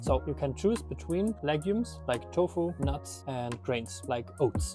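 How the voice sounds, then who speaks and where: A man talking with hardly any pauses, clear music in the background. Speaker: nutrition creator. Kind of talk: explainer skit answering a doubter. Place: garden. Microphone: lapel.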